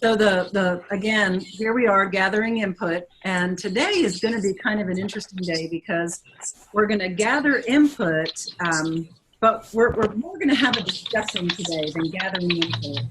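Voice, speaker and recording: Moderate pace with noticeable background noise. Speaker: education official leading advisory meeting. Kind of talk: online meeting presentation. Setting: video call; office. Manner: loud.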